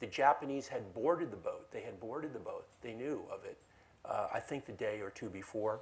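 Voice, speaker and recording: This is a man's voice. He has an American accent. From United States. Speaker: lawyer and collector giving a talk. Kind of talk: lecture. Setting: library event with audience. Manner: halting, many fillers.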